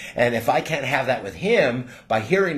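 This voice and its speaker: A man with a somewhat breathy voice talks at a moderate pace. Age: 60s. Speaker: channel owner, faith teacher. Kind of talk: casual faith conversation. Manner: halting, many repeated words.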